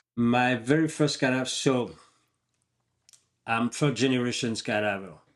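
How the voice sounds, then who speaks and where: A man speaks slowly in a French accent, with long, frequent pauses. His medium pitch shows ordinary variation against a quiet background. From France. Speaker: professional skydiver. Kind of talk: casual chat.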